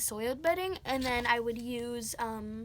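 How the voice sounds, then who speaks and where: A high-pitched woman's voice comes through noticeable background noise. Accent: American. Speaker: pet care vlogger. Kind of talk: tutorial. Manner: fast; hesitant, many fillers.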